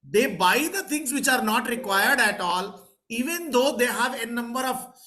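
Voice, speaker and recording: A man with lively intonation at a moderate pace, in a room with audible echo. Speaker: professor and interviewer. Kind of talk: interview. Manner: halting.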